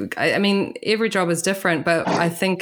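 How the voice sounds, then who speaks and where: A woman with a New Zealand accent, moderate pace and fairly even intonation. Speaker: podcast host. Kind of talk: casual interview chat.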